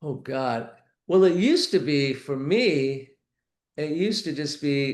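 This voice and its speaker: Speaking fairly slowly with an American accent, a man shows ordinary pitch variation. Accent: sounds like a New Yorker to some. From US West Coast, Los Angeles. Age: 60s. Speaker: mayoral candidate. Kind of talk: interview.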